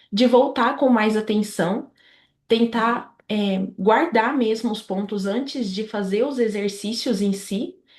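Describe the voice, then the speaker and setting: All is quiet behind the speaker, a woman. Her fairly high voice shows ordinary pitch variation. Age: 20s. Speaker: medical student. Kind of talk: interview. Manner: hesitant, many fillers.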